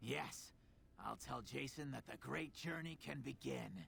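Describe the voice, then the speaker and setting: A man speaks in a raspy, put-on character voice at a fairly slow pace. Clear background noise runs behind him. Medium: video game. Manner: bitter, sardonic.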